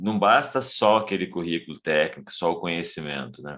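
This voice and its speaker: A man's very deep, low voice with vocal fry and lively intonation, at a fairly slow pace, on a very clean recording with a silent background. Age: 50s. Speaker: podcast host. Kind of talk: casual chat.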